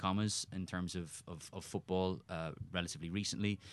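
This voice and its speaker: Against a quiet background, a man with an Irish accent speaks fairly quickly in a very deep, low voice with a bright, sharp tone and fairly even intonation. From Ireland. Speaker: soccer journalist. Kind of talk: casual chat. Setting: studio.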